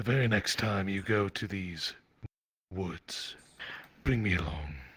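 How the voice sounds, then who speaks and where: Putting on a character voice, a man with a fairly low pitch speaks at a fairly slow pace. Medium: game stream. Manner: formal, slightly archaic.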